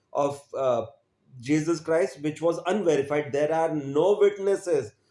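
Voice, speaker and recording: Speaking at a moderate pace, a man with a dark, mellow tone and fairly high pitch shows ordinary pitch variation. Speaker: religious video presenter. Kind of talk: religious commentary. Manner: emphatic.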